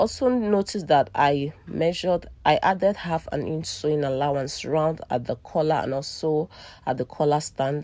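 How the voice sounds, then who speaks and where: A woman talks at a moderate pace in a very deep, low pitch with a dark, mellow tone and ordinary pitch variation. The recording is very clean, with a silent background. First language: not English. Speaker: sewing tutor / fashion designer. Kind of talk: tutorial.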